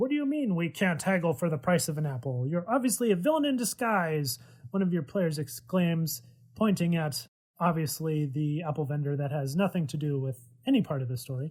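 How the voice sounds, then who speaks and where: A man with lively intonation and an ordinary speaking voice. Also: fairly high pitch for a man, fairly quick pace. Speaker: game master guide narrator. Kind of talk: narrated tabletop game guide.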